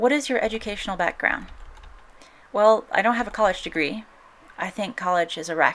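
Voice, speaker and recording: A woman with an American accent speaks at a fairly high pitch. Her pace is fairly quick, broken by long, frequent pauses. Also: ordinary pitch variation. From US South, Appalachia. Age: 30s. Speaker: YouTuber. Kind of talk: Q&A vlog answering viewer questions.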